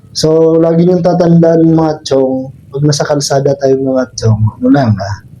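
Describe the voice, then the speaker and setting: Noticeable background noise surrounds a man who speaks at a fairly slow pace with a fairly high pitch. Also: ordinary pitch variation. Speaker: motorcycle vlogger. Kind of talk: vlog monologue while riding. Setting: outdoors on a motorbike on the road. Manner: casual, rambling, friendly.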